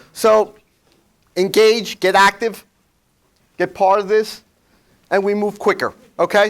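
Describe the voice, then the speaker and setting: In a New York accent, a man speaks at a high pitch on a very clean recording with a silent background. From New York, Flushing (Queens). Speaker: workshop presenter on ethics. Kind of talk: seminar talk to audience. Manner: blunt, conversational.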